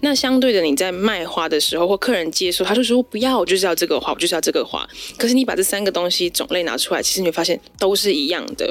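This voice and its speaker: Her intonation is lively. The woman talks at a very fast speed. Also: medium pitch for a woman. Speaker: florist and flower arranging teacher. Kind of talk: casual interview chat.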